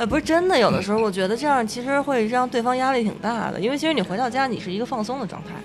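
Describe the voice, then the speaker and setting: A woman talks at a very fast pace with hardly any pauses and a high pitch. Her intonation is lively, and background noise is noticeable. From Beijing. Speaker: podcast co-host. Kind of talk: casual chat.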